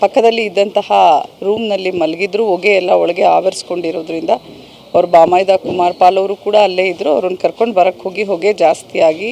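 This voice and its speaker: A woman speaks at medium pitch with fairly even intonation. There is noticeable background noise. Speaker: local official briefing media. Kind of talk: on-scene statement to media.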